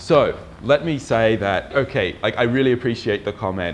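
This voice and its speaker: Lively intonation runs through the speech of a man in an Australian accent. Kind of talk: casual talk to camera.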